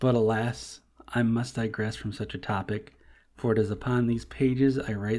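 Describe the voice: With fairly even intonation, someone does plain reading aloud.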